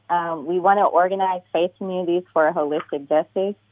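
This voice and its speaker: In an ordinary speaking voice, a woman speaks at a moderate pace and fairly low pitch with fairly even intonation. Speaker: community activist. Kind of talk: radio interview. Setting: phone call.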